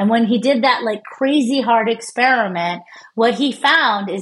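A woman with an unremarkable speaking voice and an American accent talks at a fairly high pitch. Her pace is fairly slow, with ordinary pitch variation. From United States. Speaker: neuroscientist. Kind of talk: interview.

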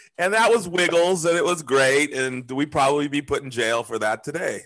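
A man with an American accent talks at a fairly quick pace. Noticeable background noise runs under his voice. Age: 50s. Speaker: podcast host. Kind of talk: casual chat.

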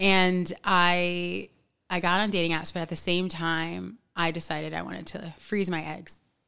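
In a very clean recording with a silent background, a woman with an American accent speaks at a fairly slow pace in a flat monotone. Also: fairly low pitch for a woman. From New York City. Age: 30s. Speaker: podcast guest. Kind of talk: casual chat.

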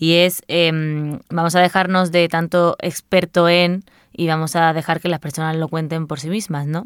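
A woman speaks in a monotone, flat way. The sound is dry and close, with no echo. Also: fairly low pitch for a woman, fairly slow pace. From Spain, Seville. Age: 20s. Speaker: journalist and podcaster. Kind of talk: interview conversation.

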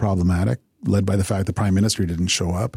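Dry and close with no echo, this very clean recording with a silent background has a man with a Canadian accent talking at a fairly quick pace in a dark, mellow, somewhat breathy tone. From Canada, Sarnia, Ontario. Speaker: political journalist and pundit. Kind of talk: interview.

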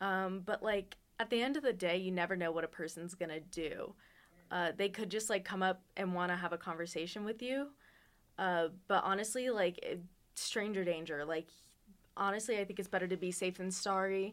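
A normal speaking voice: a woman with an American accent, medium pitch, ordinary pitch variation and moderate pace, in a very clean recording with a silent background. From Las Vegas, Nevada. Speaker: journalism student, student podcast host. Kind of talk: casual chat.

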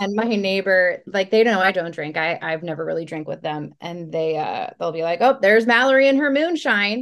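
A woman speaks at a moderate pace with lively intonation and an ordinary speaking voice, pitched in the medium range. She hardly pauses at all. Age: 30s. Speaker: health coach, former substance abuse counselor. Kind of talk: casual interview chat.

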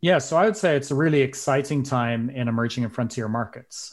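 A man with an Irish accent speaks at medium pitch. The recording is very clean, with a silent background. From Ireland. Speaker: public health specialist and investment team member. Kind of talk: casual interview.

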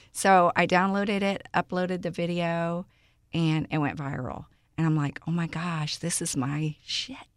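With a Texan accent, a woman speaks at a fairly low pitch in a very clean recording with a silent background. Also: ordinary pitch variation, moderate pace. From Houston, Texas (Aldine, Greenspoint). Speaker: social media personality. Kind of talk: casual interview.

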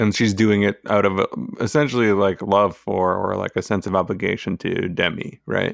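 Fairly low in pitch with fairly even intonation, a man's voice comes through with a dry, close sound and no echo. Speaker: podcast co-host. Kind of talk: casual chat. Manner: even-keeled, slow.

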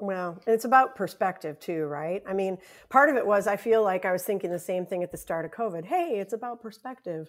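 In an American accent, a woman with an ordinary speaking voice talks at a fairly quick pace with hardly any pauses. Her pitch is medium with ordinary variation, on a very clean recording with a silent background. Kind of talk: casual podcast chat.

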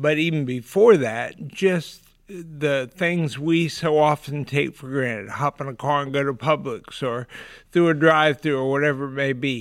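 Recorded very cleanly against a silent background, a man with an ordinary speaking voice speaks at a fairly high pitch and moderate pace with ordinary pitch variation. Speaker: nonprofit executive director. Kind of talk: casual interview.

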